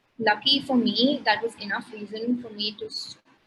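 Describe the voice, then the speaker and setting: A woman speaks with a fairly high pitch and a monotone, flat delivery. Her pace is moderate. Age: 20s. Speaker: chef. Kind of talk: interview answer.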